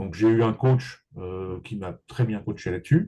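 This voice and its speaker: Somewhat breathy male voice, dark and mellow in tone. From Paris region, France. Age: 60s. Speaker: real estate agent and business coach. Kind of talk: interview.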